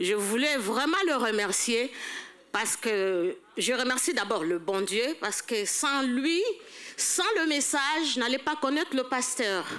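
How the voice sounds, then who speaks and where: Speaking very slowly at a high pitch, a woman lets her pitch swing very widely. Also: very even loudness. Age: old. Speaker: church elder at a seniors' banquet. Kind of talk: testimony. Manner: halting.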